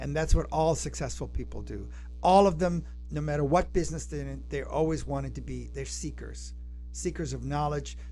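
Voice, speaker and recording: A man talks at a fairly quick pace in a very deep, low pitch, his tone dark, mellow and somewhat breathy, with flat monotone intonation, big swings in loudness, and audible room echo. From Argentina (Buenos Aires). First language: Spanish. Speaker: acting and communication coach. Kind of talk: podcast interview. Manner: dynamic.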